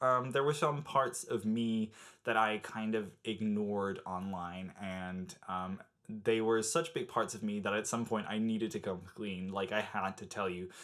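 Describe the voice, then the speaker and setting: In a very clean recording with a silent background, a man with an American accent speaks at a fairly slow pace, his pitch fairly low with ordinary pitch variation. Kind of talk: casual talk to camera.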